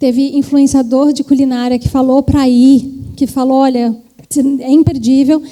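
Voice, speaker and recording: A woman at high pitch with monotone, flat intonation, over noticeable background noise. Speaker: trend forecasting executive, keynote speaker. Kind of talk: conference talk.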